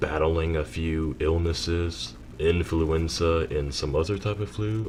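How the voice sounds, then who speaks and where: A man speaks in a very deep, low voice that is somewhat breathy, with ordinary pitch variation. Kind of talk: unscripted personal commentary. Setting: home recording with rain and thunder in background.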